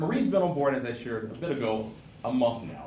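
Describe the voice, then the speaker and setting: Audible room echo and noticeable background noise are present. A man speaks fairly quickly over them. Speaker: alumni association executive. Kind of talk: conference keynote address. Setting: stage with audience. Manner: loud.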